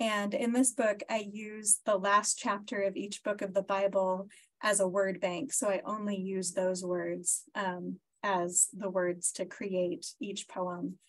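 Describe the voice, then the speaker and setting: Very slow speech from a woman at a medium pitch, with ordinary variation in pitch. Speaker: poet and event host. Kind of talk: hosting and poetry reading. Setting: video call.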